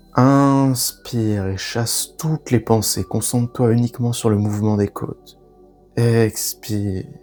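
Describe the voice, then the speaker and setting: Over music in the background, a man with a medium pitch talks at a very slow pace in a calm tone with fairly even intonation. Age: 20s. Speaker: breathwork guide. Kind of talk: guided breathing meditation. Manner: calm, slow, instructive.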